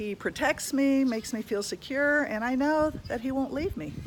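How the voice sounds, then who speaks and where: A woman with a high pitch and a warm tone speaks at a moderate pace. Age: 60s. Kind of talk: inspirational video talk. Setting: outdoors. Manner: warm, halting with repetitions.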